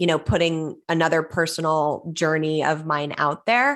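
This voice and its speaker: Heard in a very clean recording with a silent background, a woman speaks at a fairly low pitch with a Californian accent. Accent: Californian American. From Los Angeles, California. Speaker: author and actress. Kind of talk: interview conversation.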